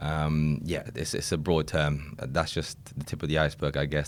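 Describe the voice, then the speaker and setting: In a British accent, a man talks with vocal fry at a very deep, low pitch and with monotone, flat intonation. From England. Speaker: recruitment consultant. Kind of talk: podcast interview.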